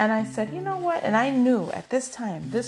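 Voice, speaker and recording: A woman's animated, fairly high voice at a fairly quick pace, with very wide pitch swings and music in the background. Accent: American. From New York City. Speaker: podcaster. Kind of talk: storytelling monologue. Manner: enunciates carefully, professional tone.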